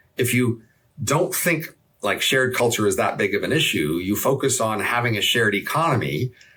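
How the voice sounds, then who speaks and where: A man's medium-pitched voice with vocal fry, a bright, sharp tone, very even loudness and lively intonation. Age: 60s. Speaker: economist. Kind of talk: interview conversation.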